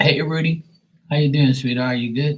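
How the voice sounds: With fairly even intonation and a moderate pace, a man speaks at a fairly high pitch.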